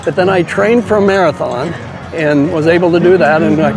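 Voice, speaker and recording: Amid noticeable background noise and audible room echo, a man talks at a fairly quick pace in a fairly high voice with ordinary pitch variation. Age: 70s. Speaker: runner and potato seed grower. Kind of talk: casual interview.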